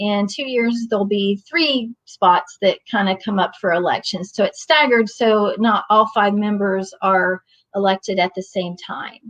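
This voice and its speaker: A plain, everyday voice from a woman with an American accent, medium in pitch with ordinary pitch variation, at a fairly slow pace with hardly any pauses, dry and close with no echo. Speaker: training facilitator, community parent advocate. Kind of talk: online training presentation. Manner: informal with many fillers.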